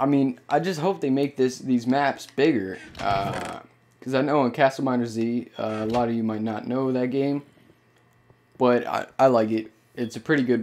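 A man talks at a fairly slow pace with medium pitch, ordinary pitch variation and a normal speaking voice. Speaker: gaming YouTuber. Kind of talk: casual gameplay commentary. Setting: home recording with capture card. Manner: casual, rambling, filler words.

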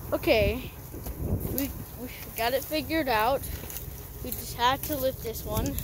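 Dry sound with no echo and noticeable background noise. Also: moderate pace. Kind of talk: casual commentary. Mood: excited, amused. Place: forest. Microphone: phone near.

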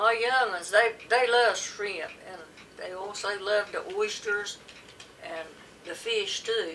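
A woman with an American accent speaks at a very slow pace, her intonation fairly even but her loudness swinging widely, over light background noise. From coastal North Carolina. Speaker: dialect study interviewee. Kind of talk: interview answer. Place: home room. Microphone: camera far.

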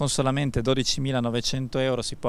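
A man at a fairly slow pace, in a dry sound with no echo. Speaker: car dealership presenter. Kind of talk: sales pitch. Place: street. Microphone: handheld.

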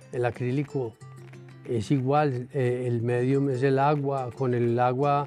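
Faint music plays in the background as a man speaks with fairly even intonation. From Colombia. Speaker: painter. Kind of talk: interview answer. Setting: art gallery. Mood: calm, reflective. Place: shop.

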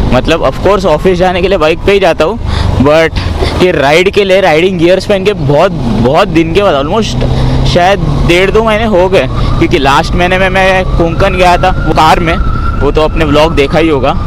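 Noticeable background noise sits under a dry sound with no echo as a man speaks at a moderate pace. His high pitch varies in an ordinary way and his loudness stays very even. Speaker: motovlogger. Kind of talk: casual vlog chat. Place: motorbike. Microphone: helmet.

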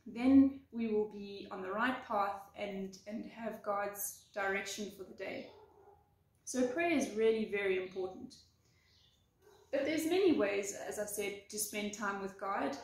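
A woman's somewhat breathy voice with audible room echo. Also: ordinary pitch variation, fairly slow pace. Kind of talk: devotional talk. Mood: warm, earnest. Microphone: phone near.

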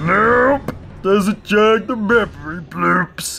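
Over faint music in the background, a put-on character voice moves at a very slow pace with lively intonation, vocal fry and a slightly husky edge.

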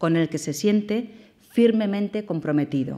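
A woman's dark, mellow tone, fairly slow pace and lively intonation over a quiet background. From Valencia, Spain; Spain. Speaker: government delegate, politician; politician. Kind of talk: formal speech and Q&A. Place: hall. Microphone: podium.

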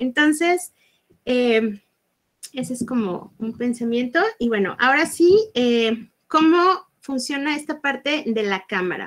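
Over a quiet background, a woman with a high voice talks very slowly with lively intonation. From Mexico, Guadalajara; Jalisco, Mexico. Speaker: workshop instructor. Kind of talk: online workshop. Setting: live video stream. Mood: cheerful, animated. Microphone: webcam.

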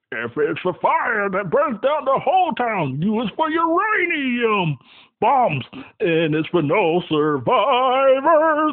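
In a cartoonish character voice, a man speaks fairly slowly at an extremely high pitch with very wide pitch swings. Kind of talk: cartoon character voice impression. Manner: theatrical, villainous ranting.

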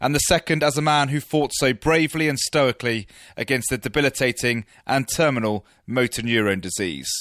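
A man with an ordinary speaking voice at a medium pitch, at a fairly quick pace with ordinary pitch variation and very even loudness, in a very clean recording with a silent background. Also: dry, close sound with no echo. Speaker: radio sports presenter. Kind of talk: radio sports podcast narration.

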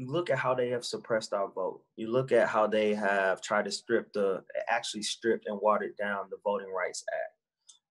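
A man speaks at a moderate pace. Behind him the background stays quiet. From US Midwest. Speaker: activist and former politician; former politician. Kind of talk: casual interview. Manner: animated. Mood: earnest, passionate. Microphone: video call.

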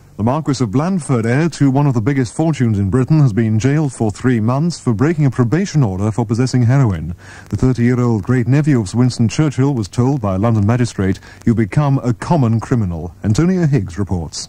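A man talks in a plain, everyday voice at a medium pitch, with lively intonation. His pace is fairly quick, with hardly any pauses and very even loudness. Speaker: radio newsreader and station announcer. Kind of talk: 1986 radio news reading and station promo. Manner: crisp, formal, brisk and authoritative, polished broadcast delivery.

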